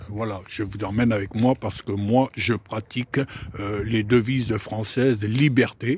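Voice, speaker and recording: Speaking at a fairly slow pace, a man with a somewhat breathy voice and fairly even intonation comes across in a dry, close sound with no echo. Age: 60s. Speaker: private car seller. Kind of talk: casual video selling a car. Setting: in a car. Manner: hesitant, many fillers.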